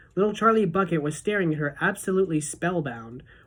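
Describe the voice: Ordinary pitch variation in plain reading aloud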